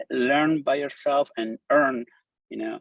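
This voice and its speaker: With a Spanish accent, the speaker is heard in a dry, close recording with no echo. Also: man. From Argentina. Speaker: designer and coder giving a talk. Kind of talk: conference presentation. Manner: animated, casual.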